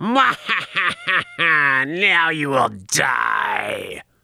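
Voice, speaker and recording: A man in a put-on character voice, high-pitched for a man, at a very slow pace. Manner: sneering, villainous; evil laugh.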